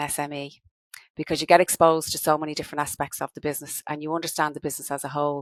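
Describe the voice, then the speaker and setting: A woman with a Dublin accent speaks very fast at a very deep, low pitch, her intonation monotone and flat, with big swings in loudness. The sound is dry and close with no echo, on a very clean recording with a silent background. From Ireland, Dublin. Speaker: business owner, credit management consultant. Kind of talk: podcast interview.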